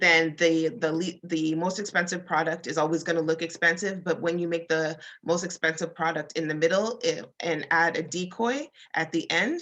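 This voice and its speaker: Against a quiet background, a woman talks at a moderate pace with a fairly low pitch and fairly even intonation, in a plain, everyday voice. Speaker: design speaker. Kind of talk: presentation.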